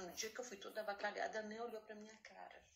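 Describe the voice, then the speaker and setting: A woman speaks at medium pitch and a fairly quick pace. Hers is a plain, everyday voice. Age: 60s. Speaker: retired saleswoman, artisan. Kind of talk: casual chat.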